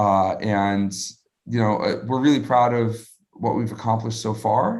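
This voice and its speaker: A man with an American accent and an ordinary speaking voice, medium in pitch, fairly even in intonation, at a fairly quick pace. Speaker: crypto startup founder. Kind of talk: live interview Q&A. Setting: live video stream. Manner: casual, many filler words.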